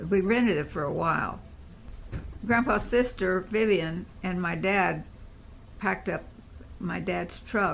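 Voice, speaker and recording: A woman with an American accent talks at a fairly slow pace with vocal fry and ordinary pitch variation. Her speech has long, frequent pauses. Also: medium pitch for a woman. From Indiana, Evansville. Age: 70s. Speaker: grandmother telling family history. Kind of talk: oral history interview.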